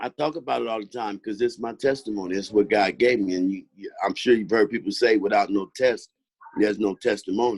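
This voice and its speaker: A man with a fairly low pitch talks at a fairly quick pace, with ordinary pitch variation. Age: 60s. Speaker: pastor and former prisoner. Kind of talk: testimony; casual chat.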